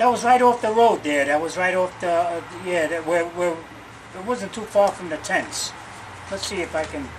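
With a New York accent, a man with a high pitch talks at a moderate pace, showing ordinary pitch variation and big swings in loudness over noticeable background noise. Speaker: war veteran. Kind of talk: oral history interview. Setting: in person at a museum. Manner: halting. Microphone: camera far.

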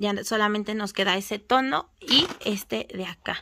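A very slow speaker with a bright, sharp tone and ordinary pitch variation. Light background noise sits behind the voice. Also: woman. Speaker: nail supply shop owner; shop seller. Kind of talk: product showcase video; casual product showcase chat. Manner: casual, filler-heavy. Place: shop. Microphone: phone near.

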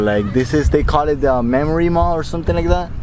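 A man speaks in a dry recording with no echo and light background noise. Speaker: vlogger interviewing college students. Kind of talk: casual vlog chat. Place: open country.

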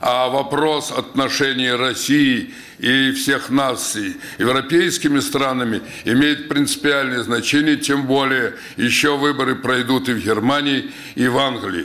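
A man's monotone, flat delivery at a fairly slow pace. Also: very even loudness. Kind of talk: press conference statement. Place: hall. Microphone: podium.

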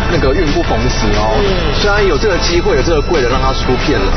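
A man talks at a very fast pace over loud background music. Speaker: feng shui teacher guest. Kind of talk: explanatory TV commentary. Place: street. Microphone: lapel.

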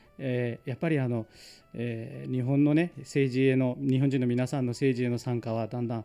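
Over faint music in the background, a man of medium pitch speaks in a monotone, flat way at a moderate pace. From India, Mumbai area; India. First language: Marathi or other Indian language (speaking Japanese). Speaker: local politician; guest. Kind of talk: radio interview. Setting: studio. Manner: hesitant, many fillers. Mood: cheerful, smiling. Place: studio. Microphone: studio mic.

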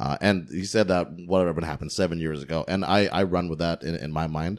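Very deep and low, a man's voice with vocal fry runs at a fairly quick pace over a quiet background. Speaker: podcast host. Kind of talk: casual chat. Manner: playful, animated. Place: home room. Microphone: studio mic.

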